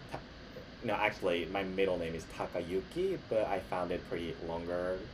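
At a fairly slow pace, a man with a very deep, low, somewhat breathy voice speaks in fairly even intonation, with audible room echo. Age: 30s. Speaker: podcast host, actor and model. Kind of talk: casual monologue. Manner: halting, self-correcting; laughs often.

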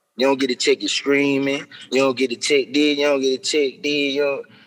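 A man at a fairly high pitch holds a moderate pace while noticeable background noise plays behind him. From Birmingham, Alabama, US South. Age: 30s. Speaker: rapper. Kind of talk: casual interview. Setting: in a mall.

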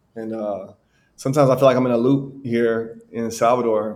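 A man with a Southern US accent at a fairly slow pace, his intonation monotone and flat. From US South, Alabama. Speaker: American expat in Brazil. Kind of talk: casual chat.

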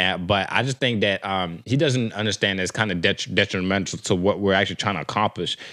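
A man with a bright, sharp tone and fairly low pitch, ordinary pitch variation, on a very clean recording with a silent background. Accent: American. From Texas. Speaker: podcast co-host. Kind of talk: casual chat. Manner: relaxed, filler-heavy.

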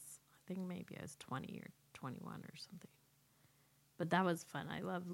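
Using fairly even intonation, a woman with an American accent speaks at a fairly low pitch with vocal fry. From US West Coast (San Diego, California). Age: 40s. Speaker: podcast co-host. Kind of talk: casual chat.

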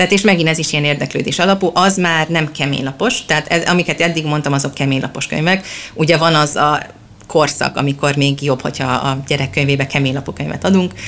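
Noticeable background noise surrounds a woman with a very deep, low pitch. She speaks at a very fast pace with ordinary pitch variation. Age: 30s. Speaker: children's book blogger and mother. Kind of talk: interview. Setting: bookshop.

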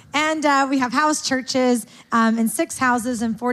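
A high-pitched woman with ordinary pitch variation, heard over noticeable background noise. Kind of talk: announcement. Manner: excitable.

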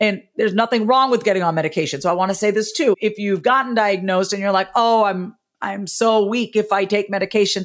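A woman speaks with a New York accent and ordinary pitch variation. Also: hardly any pauses. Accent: New York American. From US, Long Island, New York. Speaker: author and speaking coach. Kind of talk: interview.

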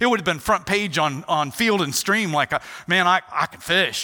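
Animated and projected, a man's raised voice has a bright, sharp tone and lively intonation. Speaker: chapel speaker. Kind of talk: sermon. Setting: stage with audience.

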